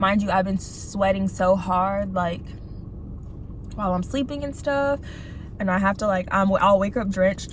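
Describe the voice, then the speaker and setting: A woman at a moderate pace with fairly even intonation, long, frequent pauses and noticeable background noise. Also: medium pitch for a woman. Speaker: video blogger. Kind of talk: casual monologue while eating. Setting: in a car in a parking lot. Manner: soft-spoken; halting, lots of fillers.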